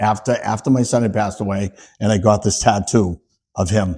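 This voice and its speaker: On a very clean recording with a silent background, a man with an American accent speaks at a moderate pace, his tone dark and mellow and somewhat breathy. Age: 60s. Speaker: EMT and recovering addict. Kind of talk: podcast interview. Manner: halting.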